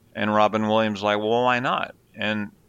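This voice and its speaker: A man's voice with a bright, sharp tone and fairly even intonation. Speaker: radio host (former), co-host's father. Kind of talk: casual chat.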